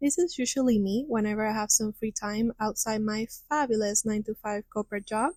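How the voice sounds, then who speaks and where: With a Spanish accent, a woman speaks in a fairly high voice at a moderate pace, her intonation fairly even. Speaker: crochet content creator. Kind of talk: tutorial; casual chat.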